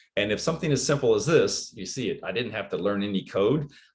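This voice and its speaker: At a fairly quick pace, a man speaks with lively intonation and a somewhat breathy voice. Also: quiet background. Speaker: educator leading a teaching workshop. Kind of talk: online workshop presentation. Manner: fast.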